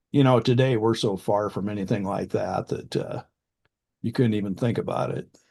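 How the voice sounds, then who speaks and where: A man with a Midwestern US accent speaks at a moderate pace and medium pitch, with fairly even intonation. His tone is dark and mellow, and the background is quiet. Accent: US Midwest. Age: 60s. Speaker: farmland specialist. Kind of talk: casual interview.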